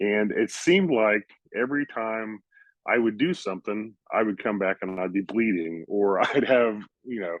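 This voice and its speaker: A man speaks at a moderate pace in an ordinary speaking voice. His fairly low pitch shows ordinary variation. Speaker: podcast guest, NFT collector. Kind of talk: casual chat.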